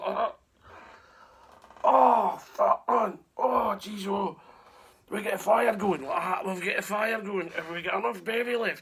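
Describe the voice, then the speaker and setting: A man's raspy, put-on character voice, high in pitch, with lively intonation, a fairly slow pace and long, frequent pauses. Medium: solo performance.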